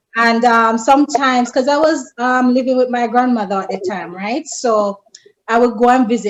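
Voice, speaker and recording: A fairly high female voice in a strong Jamaican accent at a moderate pace. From rural Jamaica. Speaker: friend of the host. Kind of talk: casual chat.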